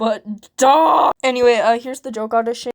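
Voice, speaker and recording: In a dry, close recording with no echo, a woman speaks at a moderate pace in a high pitch with ordinary pitch variation. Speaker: hobbyist voice actor. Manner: casual, rambling with many fillers.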